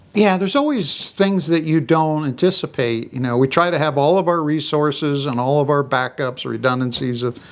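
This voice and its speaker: A man talks at a fairly quick pace over noticeable background noise. His pitch sits fairly high, with ordinary pitch variation. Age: 60s. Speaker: farmer. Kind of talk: casual chat.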